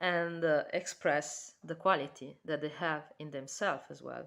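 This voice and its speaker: A woman speaks in an Italian accent at a fairly slow pace. Her pitch is fairly low. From Italy. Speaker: tarot reader. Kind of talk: tarot reading. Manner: halting.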